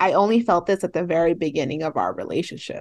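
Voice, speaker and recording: A woman talks at a fairly quick pace in an ordinary speaking voice, with ordinary pitch variation and a quiet background. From San Fernando Valley, California. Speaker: podcast co-host. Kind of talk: casual chat.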